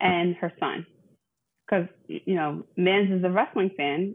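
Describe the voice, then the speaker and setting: The pace here is very slow. The speaker is a woman with a medium pitch. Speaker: wrestling podcast co-host. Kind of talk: casual chat. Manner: animated. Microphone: not using the new mic.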